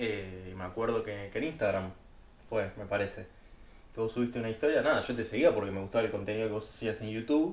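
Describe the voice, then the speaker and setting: With a Rioplatense accent, a man talks at a fairly quick pace, at medium pitch with ordinary pitch variation. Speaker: podcast co-host. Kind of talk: casual chat.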